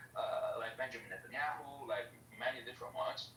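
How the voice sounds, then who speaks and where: Amid noticeable background noise and audible room echo, a man keeps a moderate pace. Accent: Italian. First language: not English. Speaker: caller in live audio chat room. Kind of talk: heated debate. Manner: halting.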